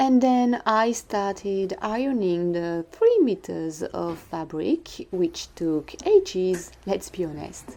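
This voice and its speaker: A woman speaks very slowly in a French accent, with a dark, mellow tone. Her intonation is lively. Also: medium pitch for a woman. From France. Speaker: sewing vlogger. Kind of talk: voice-over narration.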